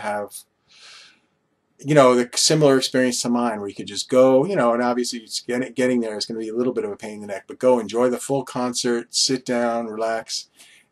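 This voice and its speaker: The man's voice rests at a medium pitch. He keeps his intonation fairly even. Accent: American. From Long Island, New York. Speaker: vlogger. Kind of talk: casual monologue vlog. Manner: rambling with many fillers.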